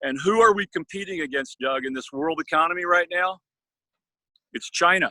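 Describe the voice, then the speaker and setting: A man's high voice in an American accent, bright and sharp in tone and animated, with ordinary pitch variation, a moderate pace, long, frequent pauses and a dry, close sound with no echo. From Arizona. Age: 60s. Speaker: congressional candidate. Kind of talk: political interview.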